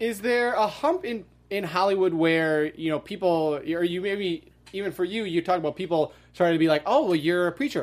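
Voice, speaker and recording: A high-pitched man at a fairly quick pace. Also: ordinary pitch variation. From US Midwest, Wisconsin. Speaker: podcast host. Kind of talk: interview.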